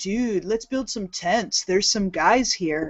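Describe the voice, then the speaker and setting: The speaker uses a put-on character voice at a middle pitch, going at a fairly slow pace. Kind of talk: casual, slangy. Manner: stoned, spaced-out.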